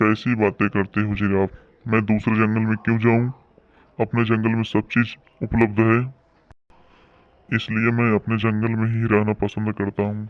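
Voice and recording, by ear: Putting on a cartoonish character voice, a man speaks at a medium pitch in a flat monotone, leaving long, frequent pauses. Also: moderate pace.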